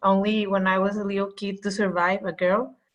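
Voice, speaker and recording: Speaking at a medium speed, a woman talks with a non-native accent. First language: not English. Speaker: triathlete in swim group book club. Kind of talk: casual group discussion. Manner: halting, many fillers.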